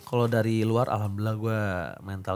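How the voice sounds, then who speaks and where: A man's fairly low voice at a very fast pace, monotone with flat intonation. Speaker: esports caster. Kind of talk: casual chat. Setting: studio. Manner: loud, fiery. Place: studio. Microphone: studio mic.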